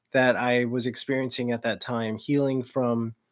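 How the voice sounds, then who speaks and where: The pace is fairly slow, in an American accent. The recording is very clean, with a silent background. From US South, small-town Florida. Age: 30s. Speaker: student. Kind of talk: personal presentation to class. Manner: halting, many fillers.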